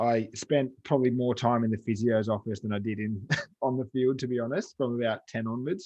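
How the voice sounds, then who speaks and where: With a western Sydney accent, a man talks at a fairly quick pace, his medium pitch carried in fairly even intonation. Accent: western Sydney Australian. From western Sydney, Australia. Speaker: fitness coach and gym owner. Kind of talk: interview. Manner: casual.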